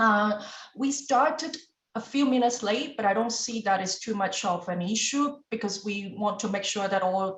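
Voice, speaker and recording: A fairly slow pace with a non-native accent. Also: woman. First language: not English. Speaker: club meeting general evaluator. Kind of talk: meeting evaluation speech.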